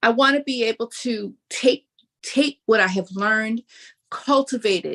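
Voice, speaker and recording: A woman speaks at a fairly slow pace in an ordinary speaking voice, pitched fairly high with ordinary pitch variation. The sound is dry and close, with no echo. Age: 60s. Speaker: higher education professional, event speaker. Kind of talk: interview. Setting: livestream.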